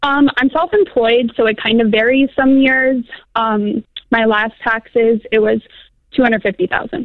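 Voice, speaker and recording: The woman keeps a moderate pace and very even loudness. Her pitch variation is ordinary. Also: fairly high pitch for a woman. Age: 20s. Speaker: caller, self-employed. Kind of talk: call-in advice conversation. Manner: hesitant, many fillers.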